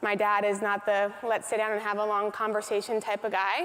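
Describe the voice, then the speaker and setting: A woman with an American accent talks at a fairly quick pace in a fairly high pitch, with a normal speaking voice. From US Midwest, North Dakota. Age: 30s. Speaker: motivational speaker. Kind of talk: keynote speech.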